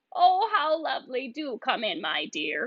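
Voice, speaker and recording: A woman does a put-on character voice, croaky and cackling, pitched high. She keeps a moderate pace. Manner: sweetly deceptive.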